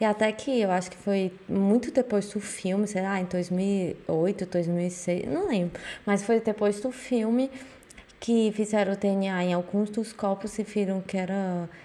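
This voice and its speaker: Using an unremarkable speaking voice, a woman speaks at a fairly slow pace, medium in pitch with fairly even intonation. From Brazil. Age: 20s. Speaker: podcast co-host. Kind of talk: casual chat.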